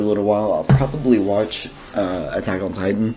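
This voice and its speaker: Music plays in the background as a man with a fairly low voice and ordinary pitch variation talks at a fairly quick pace. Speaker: gaming YouTuber. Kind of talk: let's play commentary. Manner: casual, rambling with fillers.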